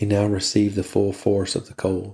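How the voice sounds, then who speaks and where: On a very clean recording with a silent background, a man speaks in a somewhat breathy voice with monotone, flat intonation. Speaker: podcast host, reader. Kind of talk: bedtime story reading. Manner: slow, monotonous.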